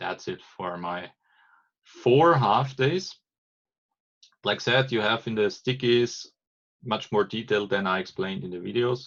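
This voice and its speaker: A man speaks with a German accent. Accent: non-native English, German-accented. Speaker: agile trainer. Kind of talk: explanatory monologue. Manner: halting, many false starts.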